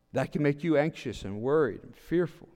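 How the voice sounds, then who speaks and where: The man's pitch is fairly high. He keeps a moderate pace. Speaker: pastor. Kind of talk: sermon. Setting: church with online stream. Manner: loud.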